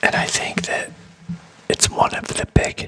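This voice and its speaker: Whispering at a fairly slow pace, with noticeable background noise. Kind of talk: ASMR motivational ramble. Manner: whispered.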